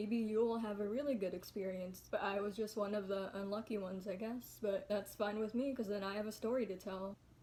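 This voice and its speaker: Flat, monotone female voice at a medium pitch. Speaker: vlogger. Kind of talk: casual chat. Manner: relaxed.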